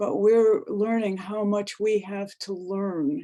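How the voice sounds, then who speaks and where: Her pitch sits at a medium level. This woman talks very slowly. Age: 70s. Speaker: retired teacher, circle participant. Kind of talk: heartfelt sharing in a talking circle.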